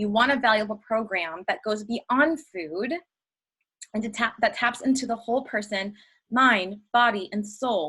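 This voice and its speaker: The delivery is animated, with a bright, sharp tone. Pitch varies an ordinary amount, and the pace is fairly slow. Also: woman, fairly high pitch for a woman. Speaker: health coach trainer. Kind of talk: webinar training.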